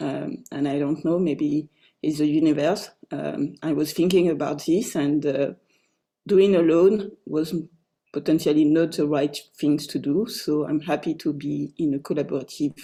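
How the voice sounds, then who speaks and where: The tone is dark and mellow, with a French accent. Intonation stays fairly even at a moderate pace. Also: woman, very deep, low pitch for a woman. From France. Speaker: co-author of a book. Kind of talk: online book launch talk.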